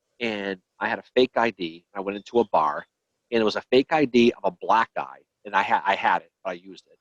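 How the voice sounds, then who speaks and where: The sound is dry and close, with no echo. A man speaks with a Boston accent. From Boston, Massachusetts. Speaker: history podcast host. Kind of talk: casual chat. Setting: live video stream.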